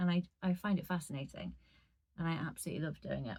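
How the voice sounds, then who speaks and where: Speaking at a very fast pace, a woman uses a dark, mellow tone that is somewhat breathy and fairly low in pitch. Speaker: audiobook narrator. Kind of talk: casual talk to camera. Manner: chatty.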